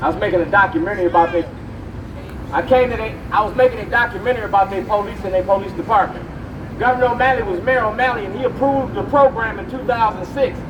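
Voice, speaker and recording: Against noticeable background noise, a man with an extremely high pitch talks at a very fast pace with ordinary pitch variation. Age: 60s. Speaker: activist. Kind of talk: rally speech. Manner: animated.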